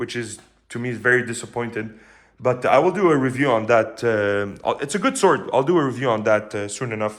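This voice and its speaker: The speaker talks at a fairly quick pace in a Quebec accent, with lively intonation. The recording is very clean, with a silent background. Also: man. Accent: French Canadian accent in English. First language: French. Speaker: sword reviewer. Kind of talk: product review. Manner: hesitant, many fillers.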